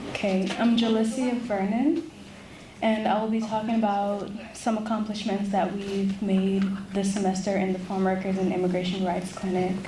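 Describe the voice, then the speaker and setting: A woman of medium pitch speaks at a moderate pace with fairly even intonation and very even loudness, and room echo is audible. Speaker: law student. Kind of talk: prepared presentation. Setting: ceremony with audience.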